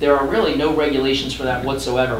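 A man talks at a very fast pace amid audible room echo and light background noise. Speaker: harm reduction policy director. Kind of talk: testimony. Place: meeting room.

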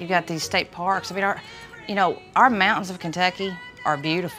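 Faint music can be heard behind the voice. A woman is talking at a fairly quick pace. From Eastern Kentucky. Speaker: bluegrass singer and bass player. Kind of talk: interview answer. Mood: warm, proud.

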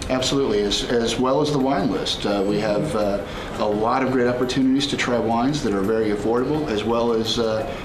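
A man talks at a fairly quick pace with ordinary pitch variation, noticeable background noise behind him. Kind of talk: interview answer. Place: bar.

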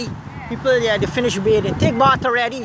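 The speech moves at a very fast pace. The sound is dry with no echo, and background noise is noticeable. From Guyana. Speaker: video blogger. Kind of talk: casual commentary and interviews. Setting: outdoors. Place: waterside. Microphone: phone near.

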